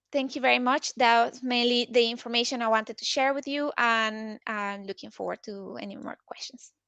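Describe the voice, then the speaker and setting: A woman with a non-native accent speaks at a fairly quick pace, her fairly high pitch carrying a bright, sharp tone, and her loudness swings widely. She barely pauses, and the sound is dry and close with no echo. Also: fairly even intonation. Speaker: sustainability consultant. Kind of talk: webinar presentation. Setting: online webinar. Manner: halting, many fillers.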